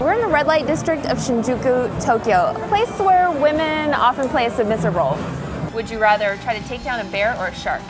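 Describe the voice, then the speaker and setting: Backed by music, a woman with a high pitch speaks at a fairly quick pace, her pitch swinging very widely. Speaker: sports and news reporter. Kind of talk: sports news report.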